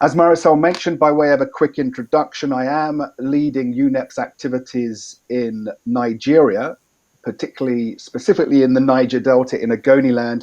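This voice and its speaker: A medium-pitched man with an English accent, fairly even intonation and a fairly quick pace, against a quiet background. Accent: Anglo-Saxon (English). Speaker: environmental expert. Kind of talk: training presentation.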